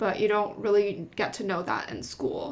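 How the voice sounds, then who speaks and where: In an American accent, a woman speaks at a moderate pace and a medium pitch. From Taiwan and US, back and forth. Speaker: brand strategist and vlogger. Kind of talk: Q&A casual chat, bilingual. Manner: casual, some hesitation.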